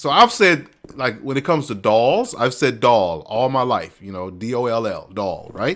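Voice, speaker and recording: This man has an ordinary speaking voice at a medium pitch, with lively intonation at a moderate pace. The recording is very clean, with a silent background. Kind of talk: casual gameplay commentary.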